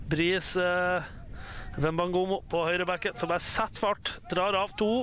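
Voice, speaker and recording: Very slowly, a man speaks at a high pitch in a bright, sharp tone. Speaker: football commentator. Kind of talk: live sports commentary. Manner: halting, with frequent filler hesitations.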